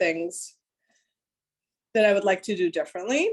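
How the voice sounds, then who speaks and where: A woman is speaking. She has a Spanish accent. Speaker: clinical supervisor and private practice therapist. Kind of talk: workshop Q&A.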